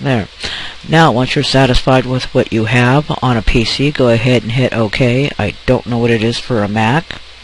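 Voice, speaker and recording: This man has a normal speaking voice at a medium pitch, with fairly even intonation and a moderate pace. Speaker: photo editing tutorial maker. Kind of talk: tutorial.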